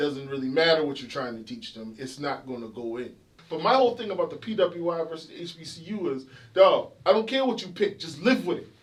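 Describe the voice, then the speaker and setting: A man speaks very fast in a South Carolina Lowcountry accent, his pitch sitting high for a man. His pitch swings very widely and his loudness jumps around a lot. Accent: Gullah Geechee, South Carolina Lowcountry. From Charleston, South Carolina. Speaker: dentist. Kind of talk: interview answer.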